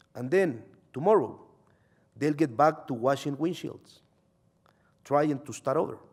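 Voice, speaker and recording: A man with a Salvadoran accent talks at a fairly slow pace with long, frequent pauses and ordinary pitch variation. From El Salvador. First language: Spanish. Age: 30s. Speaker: journalist. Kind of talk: reading aloud.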